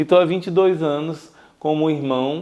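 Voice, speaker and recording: A man is speaking here. His pace is fairly slow. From Brazil, Rio de Janeiro state (Niterói, São Gonçalo). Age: 40s. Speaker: religious brother. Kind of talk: interview. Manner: hesitant fillers.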